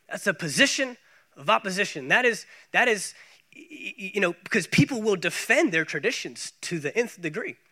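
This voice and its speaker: A high-pitched man with an American accent projects his raised voice in a bright, sharp tone at a moderate pace, his pitch swinging very widely and his loudness shifting in big jumps on a very clean recording with a silent background. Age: 30s. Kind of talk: sermon. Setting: church.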